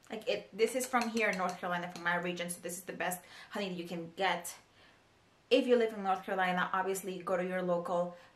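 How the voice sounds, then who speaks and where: At a very fast pace, a woman with a medium pitch talks with big swings in loudness over audible room echo. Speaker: beauty vlogger. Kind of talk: casual tutorial vlog. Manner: chatty, filler-heavy.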